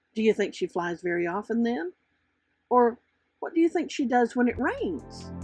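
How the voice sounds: Big pitch swings and a slightly husky edge, with faint music in the background. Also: woman, fairly high pitch for a woman, moderate pace.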